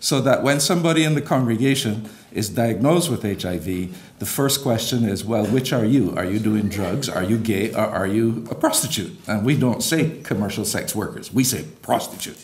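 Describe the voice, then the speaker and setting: A man at a medium pitch and moderate pace, with audible room echo and noticeable background noise. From Barbados. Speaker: bishop, church leader. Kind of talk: conference speech.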